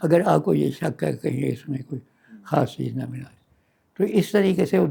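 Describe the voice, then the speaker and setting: A man's dark, mellow tone with vocal fry. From Dera Ghazi Khan, Pakistan. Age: 80s+. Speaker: retired physician. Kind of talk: oral history interview answer.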